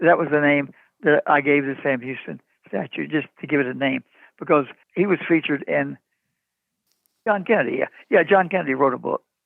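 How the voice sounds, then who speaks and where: A man with a Texan accent at a fairly quick pace, broken by long, frequent pauses. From East Texas. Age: 90s. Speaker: artist and sculptor. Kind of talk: interview, casual chat.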